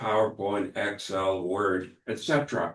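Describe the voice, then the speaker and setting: A man's somewhat breathy, fairly low voice at a fairly slow pace. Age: 70s. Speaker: water district staff member. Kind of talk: board meeting discussion. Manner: halting, many fillers.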